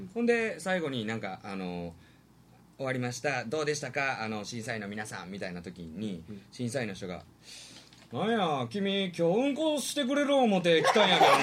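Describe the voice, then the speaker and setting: A man at medium pitch and moderate pace, with big swings in loudness, very wide pitch swings and audible room echo. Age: 30s. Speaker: performer with a distinctive voice. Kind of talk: casual chat. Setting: live internet stream.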